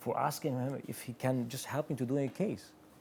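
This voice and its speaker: With an Albanian accent, a man speaks in a dark, mellow tone and fairly even intonation. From Kosovo. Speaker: watchmaker. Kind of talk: interview. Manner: halting, repeats words.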